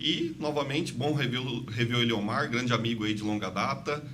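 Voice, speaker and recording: A man's fairly quick speech with lively intonation, audible room echo and noticeable background noise. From interior of São Paulo state, Brazil (Presidente Prudente). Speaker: investment advisor. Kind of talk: podcast interview.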